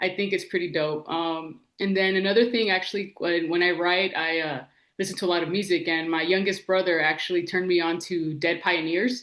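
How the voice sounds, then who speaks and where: In a plain, everyday voice, a woman talks at a fairly quick pace with hardly any pauses, her pitch fairly low and her intonation fairly even. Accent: American. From Los Angeles. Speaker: TV writer and director. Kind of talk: casual interview chat. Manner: casual, slangy with frequent 'like'.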